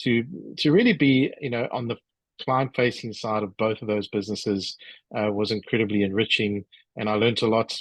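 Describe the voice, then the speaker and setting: Speaking with a South African accent, a man uses a medium pitch and fairly even intonation at a fairly quick pace. The sound is dry and close with no echo, and the background is quiet. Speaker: business executive and author. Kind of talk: interview. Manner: halting, many fillers.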